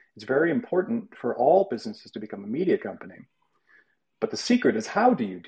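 Dark and mellow in tone, a man's voice is somewhat breathy. He moves at a fairly quick pace with very wide pitch swings. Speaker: media producer and former podcast host. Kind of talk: casual group chat. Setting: online video call and audio room. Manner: measured, steady cadence.

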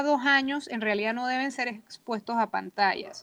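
A woman talks in an ordinary speaking voice at a fairly slow pace with ordinary pitch variation. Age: 40s. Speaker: early childhood advocate. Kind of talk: radio panel discussion.

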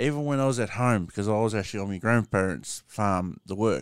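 This very clean recording has a silent background. A man with a strong Australian accent speaks fairly quickly at a fairly low pitch with ordinary pitch variation. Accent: broad Australian. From Australia, rural small town. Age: 30s. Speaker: podcast host. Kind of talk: casual livestream monologue. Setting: TikTok live stream with podcast recording. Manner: halting, filler-heavy.

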